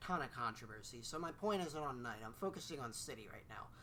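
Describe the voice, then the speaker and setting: With audible room echo, a man speaks with lively intonation and a fairly high pitch. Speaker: video game reviewer and podcast host. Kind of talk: casual chat. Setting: recording in the same room as co-host. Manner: stutters often.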